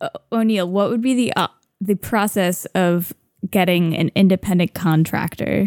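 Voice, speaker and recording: With an unremarkable speaking voice, a woman talks at a moderate pace in a medium pitch with fairly even intonation and a dry, close sound with no echo. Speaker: player. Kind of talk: tabletop roleplaying game session.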